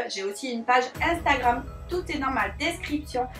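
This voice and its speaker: Over music in the background, a woman talks in a high voice with lively intonation. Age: 20s. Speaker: beauty youtuber. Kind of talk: vlog review. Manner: hesitant with many fillers.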